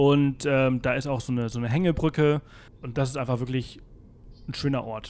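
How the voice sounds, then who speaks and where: Despite long, frequent pauses, a man speaks at a fairly quick pace with a medium pitch and fairly even intonation. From Mallorca, Spain. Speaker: travel blogger and podcaster, South Africa expert. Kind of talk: interview. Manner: many filler sounds (äh, ähm).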